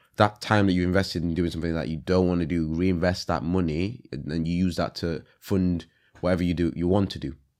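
Against a quiet background, a man speaks with a very deep, low pitch. His pace is fairly quick and his intonation fairly even. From Leeds, northern England (born in Congo). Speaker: rapper, director and visual artist. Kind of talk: casual interview.

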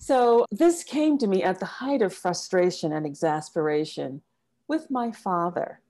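In an American accent, a woman with a medium-pitched, dark and mellow voice speaks fairly slowly, her pitch swinging very widely. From US South, small-town South Carolina. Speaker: executive coach and consultant. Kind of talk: interview storytelling.

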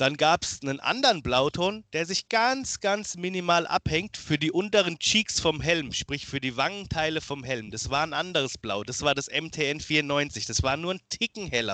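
A man speaks at a fairly slow pace in a bright, sharp tone, his fairly high pitch swinging very widely. The sound is dry and close with no echo, over a quiet background. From Germany, Lower Franconia (Miltenberg near Aschaffenburg). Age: 30s. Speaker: cosplayer and costume builder. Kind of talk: casual interview chat.

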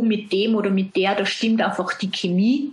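A woman with an Austrian accent speaks at a medium pitch. She sounds somewhat breathy and keeps a moderate pace. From Austria, Salzburg. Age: 30s. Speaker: self-employed brand consultant. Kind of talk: interview.

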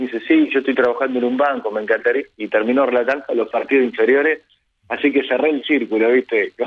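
The man's medium-pitched voice keeps fairly even intonation while racing along at a very fast pace. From Argentina, Bragado (Buenos Aires province). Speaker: football radio commentator. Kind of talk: interview conversation. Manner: hesitant, many fillers and repetitions.

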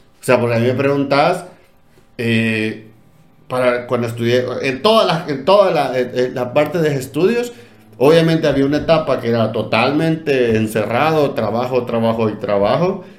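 A man at a medium pitch and a moderate pace, with ordinary pitch variation and audible room echo. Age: 30s. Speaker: education podcast host. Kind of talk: casual chat.

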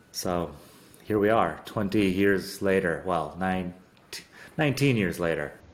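With an American accent, a man speaks at a very slow pace in a very deep, low pitch, with ordinary pitch variation, long, frequent pauses and audible room echo. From Arizona, US. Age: 40s. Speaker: podcast host. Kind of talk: casual interview chat.

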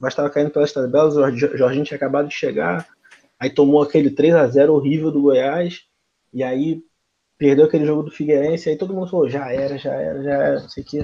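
A man with a fairly high voice talks very fast, his intonation fairly even but his loudness swinging widely. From Rio de Janeiro, Brazil (Jacarepaguá). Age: 20s. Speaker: football fan, channel supporter. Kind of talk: casual chat.

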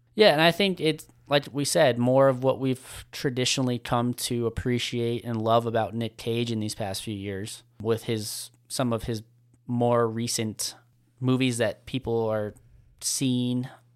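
A man with a normal speaking voice talks at medium pitch and a fairly slow pace. His intonation is fairly even, on a very clean recording with a silent background. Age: 20s. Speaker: movie podcast co-host. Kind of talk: casual chat.

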